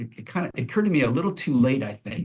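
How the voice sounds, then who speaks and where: A man's very fast speech with vocal fry. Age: 60s. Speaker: pastor. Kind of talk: podcast interview. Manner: halting.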